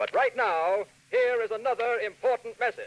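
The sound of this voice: Extremely high pitch from a man, with a fairly bright tone and a moderate pace. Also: ordinary pitch variation.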